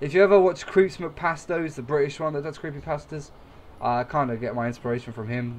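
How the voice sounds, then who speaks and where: This man with an English accent speaks fairly quickly at a fairly high pitch with ordinary pitch variation. His volume rises and falls sharply. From England. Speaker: gaming YouTuber. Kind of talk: let's play commentary.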